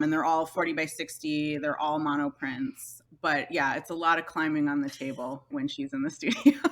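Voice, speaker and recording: With hardly any pauses, a woman speaks at a moderate pace in a very deep, low pitch, her pitch varying in an ordinary way. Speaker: master printer and print publisher. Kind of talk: interview. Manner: loud.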